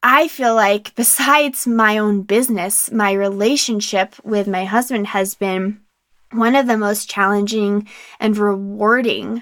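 Over a very clean recording with a silent background, a normal speaking voice holds fairly even intonation. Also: woman. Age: 30s. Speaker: podcast host. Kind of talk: casual monologue. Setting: home closet.

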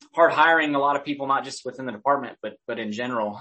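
A man's normal speaking voice with an American accent, fairly high pitch and ordinary pitch variation. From Oklahoma. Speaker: police public information officer. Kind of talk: interview.

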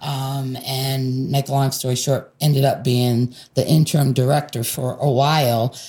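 With an American accent, a woman speaks fairly slowly at a very deep, low pitch in a somewhat breathy, dark, mellow tone. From US Northeast, Rochester, New York. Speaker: nonprofit health program manager. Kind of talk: interview. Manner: hesitant, many filler words.

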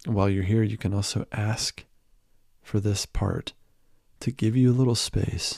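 A man's fairly low, somewhat breathy voice, dark, mellow and gentle in tone, with fairly even intonation, in a very clean recording with a silent background. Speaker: meditation guide. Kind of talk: guided meditation. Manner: gentle, with long pauses.

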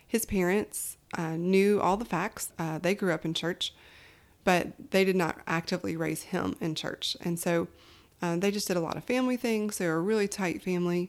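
A woman with a Southern US accent in a very clean recording with a silent background. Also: medium pitch for a woman, ordinary pitch variation, moderate pace. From Alabama, US South. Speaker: podcast host. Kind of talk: personal storytelling. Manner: animated.

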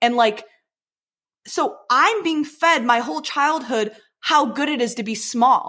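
A woman with an American accent speaks in a raised, projected voice at a fairly slow pace, her high pitch, bright, sharp tone and lively intonation broken by long, frequent pauses. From Michigan, Detroit area. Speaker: beauty pageant winner. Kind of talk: casual chat.

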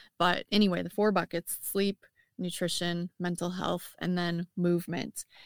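A woman's medium-pitched voice with a Midwestern accent, at a moderate pace, in a dry, close sound with no echo. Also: very clean recording, silent background. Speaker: firefighter and wellness coach. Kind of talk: casual interview.

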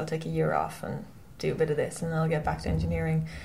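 A woman with vocal fry and a western Irish accent, audible room echo around her voice. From Ireland, County Mayo. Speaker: professional offshore sailor. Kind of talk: interview.

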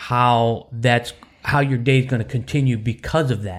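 On a very clean recording with a silent background, a man with an ordinary speaking voice talks at medium pitch and a fairly slow pace. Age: 30s. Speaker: church podcast co-host. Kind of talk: casual faith chat.

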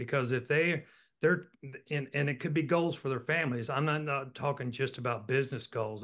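A man with an American accent and a plain, everyday voice talks at medium pitch with fairly even intonation against a quiet background. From Virginia, Roanoke. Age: 60s. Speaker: business executive. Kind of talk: interview.

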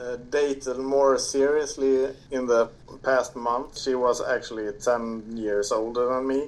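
A man talks at a fairly slow pace in a Swedish accent. His intonation is flat and monotone. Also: medium pitch for a man. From Sweden. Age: 30s. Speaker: podcast listener guest. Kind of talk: casual chat. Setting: remote call.

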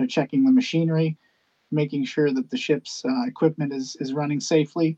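Speaking in a plain, everyday voice with a Canadian accent, a man talks at a fairly quick pace with lively intonation and a fairly high pitch, the sound dry and close with no echo. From western Canada (British Columbia, Hornby Island). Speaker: ship captain and conservation campaigner. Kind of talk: casual interview. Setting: remote call from a ship.

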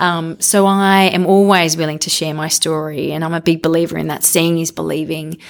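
This speaker talks at a fairly quick pace with an Australian accent, hardly pausing at all. The intonation stays monotone and flat, with noticeable background noise. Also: woman, fairly low pitch for a woman. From Australia (Canberra). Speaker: real estate media executive. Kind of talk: interview conversation.

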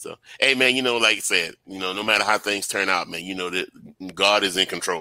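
A man's fairly low voice has a bright, sharp tone and fairly even intonation. He talks at a fairly quick pace with big swings in loudness. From Louisiana, Baton Rouge. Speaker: military veteran, YouTuber. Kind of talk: casual chat.

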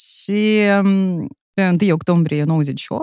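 This woman's voice is recorded dry and close. No echo can be heard. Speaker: entrepreneur, former radio broadcaster. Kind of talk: interview.

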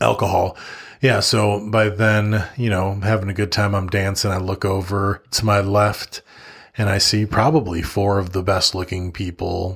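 Somewhat breathy and fairly low, a man's voice stays monotone and flat at a moderate pace in a very clean recording with a silent background. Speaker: podcast host. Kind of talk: casual chat. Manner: casual, joking.

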